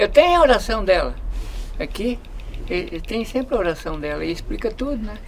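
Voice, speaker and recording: A high-pitched man talks at a fairly quick pace, with very wide pitch swings, big shifts in loudness and long, frequent pauses. Noticeable background noise and audible room echo are present. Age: 70s. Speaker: cemetery devotee. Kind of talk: casual interview. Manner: halting.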